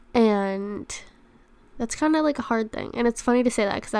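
A woman's normal speaking voice, fairly high in pitch with ordinary pitch variation, at a moderate pace. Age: 20s. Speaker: podcast host. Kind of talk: casual solo talk.

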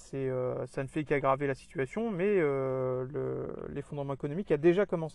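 A man with a fairly high pitch, ordinary pitch variation and a moderate pace. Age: 30s. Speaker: podcast host on survivalism. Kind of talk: solo monologue. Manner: halting, many fillers and repetitions.

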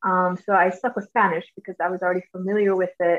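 A woman with an American accent and medium pitch talks at a fairly quick pace in a monotone, flat intonation, the sound dry and close with no echo. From US South, Georgia. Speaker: English language teacher. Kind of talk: casual chat.

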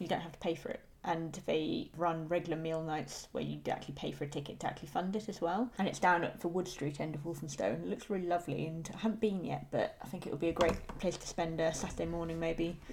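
A woman's fairly low voice with vocal fry and ordinary pitch variation, at a very fast pace with hardly any pauses. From rural England. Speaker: podcast co-host. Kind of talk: casual chat.

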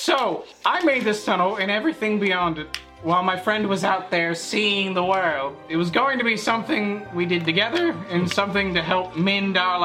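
With clear music in the background, a female-sounding put-on character voice speaks at a middle pitch and a moderate pace. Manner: defensive, indignant.

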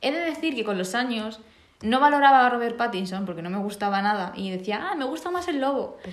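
A woman speaks fairly quickly with a fairly high pitch and very wide pitch swings. Audible room echo surrounds her voice. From Spain, small village. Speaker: podcast host. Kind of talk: casual chat. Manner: energetic.

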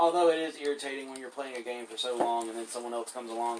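The speech moves at a very fast pace with lively intonation. Noticeable background noise runs underneath. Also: man. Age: 30s. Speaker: gaming podcast co-host. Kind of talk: casual gameplay chat.

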